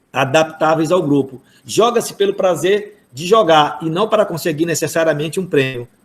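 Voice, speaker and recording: A man with a plain, everyday voice and fairly high pitch speaks at a moderate pace with ordinary pitch variation. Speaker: university professor of physical education. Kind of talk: online workshop lecture.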